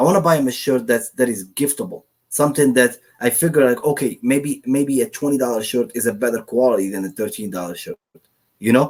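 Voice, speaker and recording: Speaking at a fairly quick pace with a non-native accent, a man keeps a medium pitch and ordinary pitch variation. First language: not English. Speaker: online print-on-demand seller. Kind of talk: casual interview chat. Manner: hesitant, many fillers.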